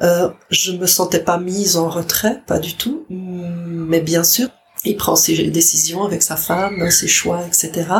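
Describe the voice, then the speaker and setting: A woman's fairly low voice at a very slow pace, fairly even in intonation, over noticeable background noise. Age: 60s. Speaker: grandmother, daycare office worker. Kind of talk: testimony.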